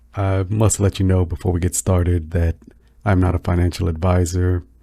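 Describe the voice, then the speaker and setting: A man speaks with a very deep, low pitch and a dark, mellow tone, somewhat breathy and relaxed. His intonation is monotone and flat, and his pace is moderate. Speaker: crypto YouTuber. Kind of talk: casual chat. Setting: home recording, no fan. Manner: halting.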